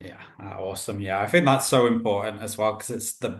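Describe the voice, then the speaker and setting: Against a quiet background, a man with a British accent speaks in a somewhat breathy voice. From Britain. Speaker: podcast host. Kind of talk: interview.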